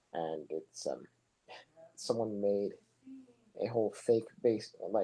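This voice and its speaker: The man's delivery is fairly slow. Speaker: soccer commentator. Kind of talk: live commentary. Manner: monotone.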